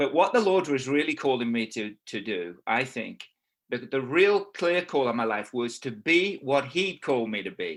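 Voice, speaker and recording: With an English accent, a man speaks at a medium pitch and moderate pace. His voice moves in very wide pitch swings. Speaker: pastor and missionary. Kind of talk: sermon. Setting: video call.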